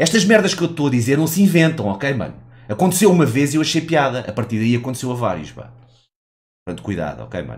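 A man talks at a very fast pace in an animated tone, his pitch swinging very widely. Vocal fry runs through his voice. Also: fairly high pitch for a man, big swings in loudness. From Portugal. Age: 30s. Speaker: gaming streamer. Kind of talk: live stream commentary. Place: home room. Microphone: headset.

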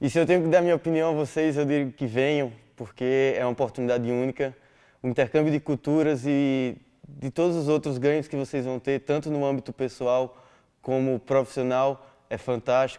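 Against a quiet background, a man talks at a moderate pace in a dark, mellow tone with fairly even intonation. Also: fairly high pitch for a man. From Brazil, Natal, Rio Grande do Norte; Rio Grande do Norte, Brazil. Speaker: exchange student. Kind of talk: testimonial. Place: office.

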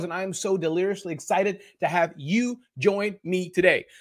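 A man speaks against a quiet background. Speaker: event host. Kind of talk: energetic live-stream welcome. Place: home room. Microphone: webcam.

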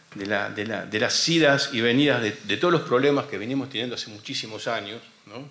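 This man speaks at a fairly quick pace with ordinary pitch variation. Room echo is audible. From Argentina. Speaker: war veteran and radio host. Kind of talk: panel talk. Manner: halting. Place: hall. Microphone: podium.

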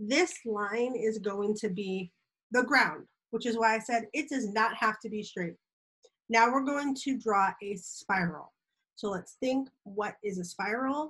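At a fairly slow pace, a woman speaks, her pitch shifting in an ordinary way. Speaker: teacher. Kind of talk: tutorial for children. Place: home room. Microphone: webcam.

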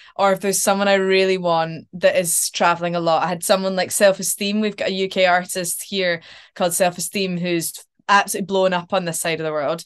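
A woman with a medium pitch speaks in a monotone, flat intonation at a fairly quick pace against a quiet background. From Scotland. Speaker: actor. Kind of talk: casual interview chat. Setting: video call. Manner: chatty, laughs often. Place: home room. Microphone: video call.

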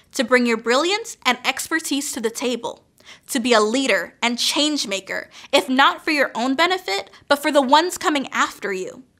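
A woman's raised, projected voice, high in pitch, with a bright, sharp tone, lively intonation and a moderate pace, over a quiet background. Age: 20s. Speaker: PhD student and commencement speaker; speaker. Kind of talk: commencement speech. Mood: earnest, encouraging. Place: studio. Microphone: podium.

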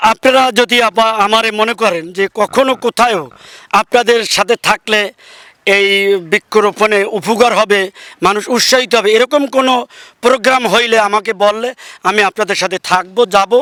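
In a raised, projected voice, a man speaks at a high pitch with a bright, sharp tone, fairly even intonation and very even loudness, in a dry, close sound with no echo. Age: 60s. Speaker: local councillor. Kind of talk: field interview.

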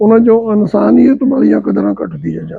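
A man speaks with a high-pitched voice. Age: 70s. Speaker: retired principal and farmer. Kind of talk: casual explanatory chat.

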